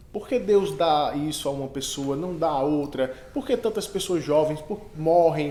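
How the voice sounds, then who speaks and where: Noticeable background noise sits behind a man with a fairly high voice. He talks at a fairly slow pace with ordinary pitch variation. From Northeast Brazil. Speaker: podcast host. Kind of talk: interview.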